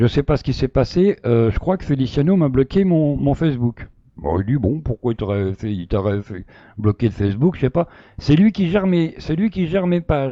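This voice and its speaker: A man speaks at a moderate pace and a medium pitch, his dark, mellow voice swinging very widely in pitch and sharply in loudness, with hardly any pauses, in a dry, close recording with no echo and a quiet background. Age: 60s. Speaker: live stream participant defending himself. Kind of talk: casual live chat, recounting a story. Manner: hesitant, many fillers and repetitions.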